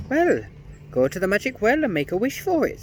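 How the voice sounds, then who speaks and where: A man's put-on character voice, shrill and high-pitched, at a fairly quick pace over clear background noise. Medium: read story. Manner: sly.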